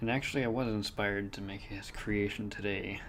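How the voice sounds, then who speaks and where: A man talks softly. His pace is fairly slow. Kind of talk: ASMR drawing video talk. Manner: soft-spoken.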